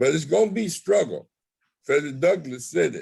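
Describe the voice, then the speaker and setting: A man speaks at a high pitch. His tone is dark and mellow. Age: 70s. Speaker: professor and community speaker. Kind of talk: panel discussion. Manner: animated.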